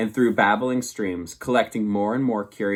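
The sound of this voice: Fairly even intonation throughout an unforced reading voice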